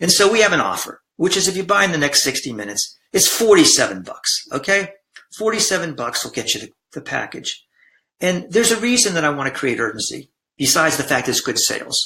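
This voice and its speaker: High-pitched male speech, fairly quick in tempo and swinging very widely in pitch. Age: 60s. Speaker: blended family coach and former attorney. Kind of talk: sales pitch. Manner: halting.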